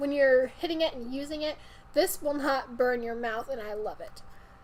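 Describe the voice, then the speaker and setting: Over noticeable background noise, a woman with a high pitch speaks in an upbeat tone with ordinary pitch variation. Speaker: vaping product reviewer. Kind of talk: product review. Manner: fast.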